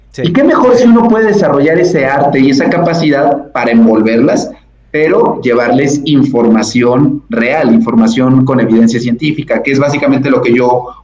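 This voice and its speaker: This man has an unremarkable speaking voice, pitched fairly high, with lively intonation. He talks at a moderate pace. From Mexico, Puebla. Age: 30s. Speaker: physician and science communicator. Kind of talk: casual chat.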